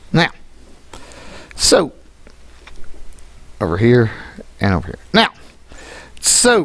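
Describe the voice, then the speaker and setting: Long, frequent pauses punctuate very slow speech. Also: man. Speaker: math teacher. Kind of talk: classroom lesson. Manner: casual, conversational; stumbles over words at times.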